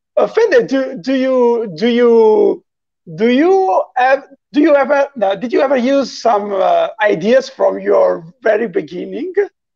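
In an Italian accent, the speaker talks at a fairly slow pace against a quiet background. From Italy. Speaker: musician hosting a live chat. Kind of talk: casual live-stream interview. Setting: video call. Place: home room.

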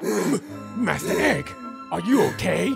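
A man puts on a high character voice with vocal fry and big pitch swings. He goes at a fairly slow pace as faint music plays behind him.

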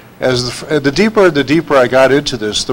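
A man with an ordinary speaking voice, pitched fairly high for a man. His pitch varies in an ordinary way at a moderate pace. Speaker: spiritual researcher. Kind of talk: panel talk. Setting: stage with audience.

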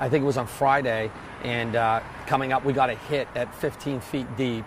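A man in monotone, flat intonation at a moderate pace, with a dry sound, no echo, and noticeable background noise. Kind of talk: interview answer. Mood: calm, matter-of-fact. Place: waterside. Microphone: lapel.

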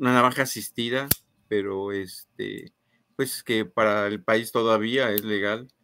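Amid noticeable background noise, a man speaks at a fairly slow pace and fairly low pitch, the sound dry with no echo. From Guanajuato, Mexico. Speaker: co-host, knife enthusiast; co-host. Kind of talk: casual live stream chat. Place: home room.

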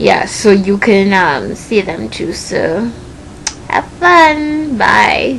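A woman with a Trinidadian accent at a very slow pace, with light background noise. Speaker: vlogger. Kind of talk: casual vlog, reading word list. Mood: playful, smiling. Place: home room. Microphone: webcam.

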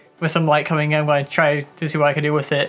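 Over faint music in the background, a man speaks at a very fast pace. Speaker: vlogger. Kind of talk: casual vlog chat. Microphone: camera far.

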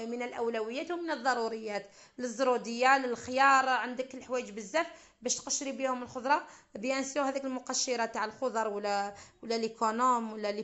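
Fairly even intonation at a moderate pace. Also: woman, high pitch for a woman. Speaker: wedding caterer cook. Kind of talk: tutorial.

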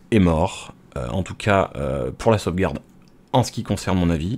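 A man with a very deep, low voice speaks at a moderate pace, his intonation lively. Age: 30s. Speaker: home computer technician. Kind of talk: tutorial. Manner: hesitant, many filler sounds; casual, unscripted. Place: home room. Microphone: studio mic.

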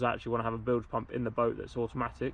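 A man speaks at a very fast pace. The sound is dry with no echo, with light background noise. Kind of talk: tutorial. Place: garden. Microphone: phone near.

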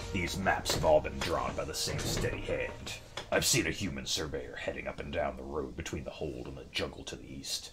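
Over clear background noise, a man does a put-on character voice at a fairly quick pace. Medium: game stream. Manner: gleeful, aggressive.

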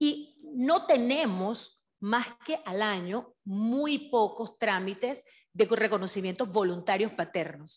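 The background is quiet. A woman speaks with lively intonation. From Panama. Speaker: civil registry official, audience member; audience member commenting. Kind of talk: audience comment. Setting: event hall with audience. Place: classroom. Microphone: handheld.

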